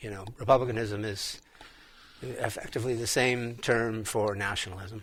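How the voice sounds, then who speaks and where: The speaker is a man with a medium pitch. He talks in an American accent. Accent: American accent, noticed by the Irish. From United States. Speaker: radio co-host. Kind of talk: talk radio discussion. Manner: halting, many repeated words.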